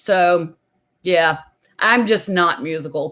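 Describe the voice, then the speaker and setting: This woman's voice sits at a medium pitch, varies in an ordinary way, and comes with an American accent. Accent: American, to the Irish guest's ears. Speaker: music interview show host. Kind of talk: casual interview chat. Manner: talkative.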